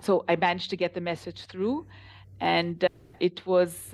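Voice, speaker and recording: A woman speaks at a medium pitch with vocal fry. Her pace is moderate. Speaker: translation company founder. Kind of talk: interview. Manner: animated.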